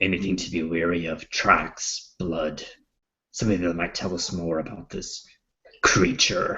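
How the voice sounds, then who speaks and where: Put-on character voice from a man, raspy and very deep, with monotone, flat intonation at a moderate pace. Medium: actual play. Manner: measured, serious.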